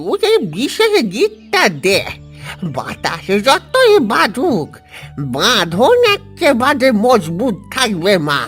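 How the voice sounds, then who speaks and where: A man puts on a cartoonish character voice at an extremely high pitch, speaking at a very slow pace with faint music in the background. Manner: warm, fatherly.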